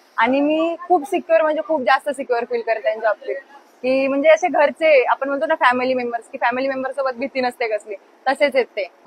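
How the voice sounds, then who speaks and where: High-pitched woman's voice, ordinary pitch variation, noticeable background noise. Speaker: college student and bhajan singer. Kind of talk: interview answer.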